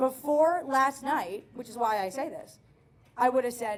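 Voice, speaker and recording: A high-pitched woman with an American accent and lively intonation. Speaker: stand-up comedian. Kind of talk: stand-up. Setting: stage with audience. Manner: fast; animated.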